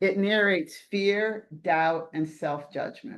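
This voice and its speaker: A plain, everyday voice: a woman at medium pitch, with lively intonation and a fairly slow pace, over a quiet background. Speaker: coaching webinar presenter. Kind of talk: webinar presentation.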